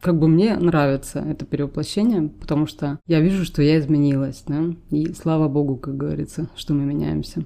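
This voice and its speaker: Her voice is very deep and low for a woman, dark and mellow in tone, with fairly even intonation. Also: fairly quick pace. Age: 40s. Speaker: podcast co-host. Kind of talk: casual chat.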